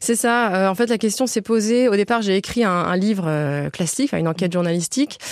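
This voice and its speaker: Medium-pitched female speech at a fairly quick pace, ordinary pitch variation, noticeable background noise. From Toulouse, southern France. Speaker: journalist and author. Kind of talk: radio interview.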